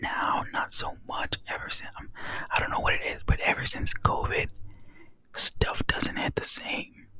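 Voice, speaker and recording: Noticeable background noise accompanies whispering delivered at a fairly slow pace. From Texas. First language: Spanish. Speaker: ASMR creator. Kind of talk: casual chat. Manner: soft-spoken.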